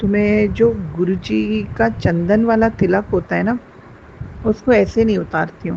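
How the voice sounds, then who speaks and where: Over noticeable background noise, a woman with a fairly low pitch talks at a fairly slow pace, her pitch swinging very widely. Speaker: teacher sharing devotional experience. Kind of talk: testimony. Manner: hesitant with fillers, Hindi-English code-switching.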